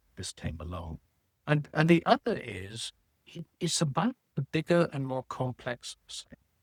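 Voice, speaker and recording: In a British accent, a man with a fairly high pitch and vocal fry speaks at a fairly slow pace, with very wide pitch swings and big swings in loudness, in a dry, close sound with no echo. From Britain. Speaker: sales researcher and author. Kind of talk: interview.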